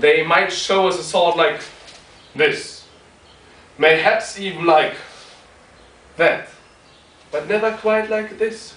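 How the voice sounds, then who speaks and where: A man with a non-native accent speaks very slowly at a high pitch, with ordinary pitch variation and long, frequent pauses. Noticeable background noise and audible room echo fill the recording. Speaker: martial arts practitioner reviewing gear. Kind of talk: product review. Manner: hesitant, with frequent ums.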